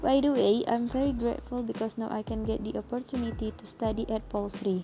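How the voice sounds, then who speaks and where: Fairly quick pace and fairly even intonation amid noticeable background noise. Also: woman, fairly high pitch for a woman. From Indonesia, Palembang. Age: 20s. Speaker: university student. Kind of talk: class presentation. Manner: scripted, reading.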